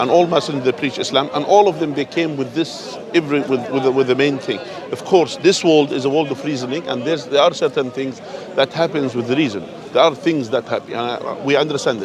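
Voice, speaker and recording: Over crowd noise in the background, a man speaks at a fairly quick pace with a fairly high pitch and ordinary pitch variation. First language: not English. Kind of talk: street debate. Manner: animated, interrupting.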